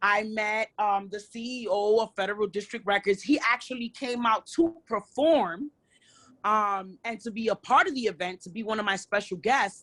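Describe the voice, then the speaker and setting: A woman with a New York accent talks at a moderate pace and a fairly high pitch, with ordinary pitch variation. Her loudness swings widely, and the sound is dry and close with no echo. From New York, Brooklyn. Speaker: hip hop artist. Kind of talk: interview. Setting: nightclub.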